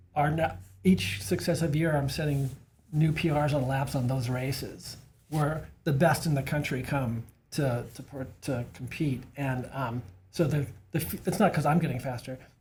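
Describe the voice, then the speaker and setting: Music plays in the background as a man speaks at a moderate pace. His fairly high pitch has ordinary variation. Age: 60s. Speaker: masters bike racer and cycling coach. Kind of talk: casual podcast conversation.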